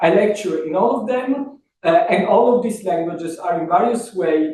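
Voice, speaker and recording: A man's high voice in a strong Italian accent, with lively intonation and a moderate pace. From Italy. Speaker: professor. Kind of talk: lecture. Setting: workshop talk. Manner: formal.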